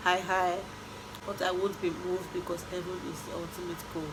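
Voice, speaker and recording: With audible room echo and noticeable background noise, a woman speaks at a fairly slow pace and medium pitch. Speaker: vlogger. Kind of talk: casual vlog chat. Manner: animated.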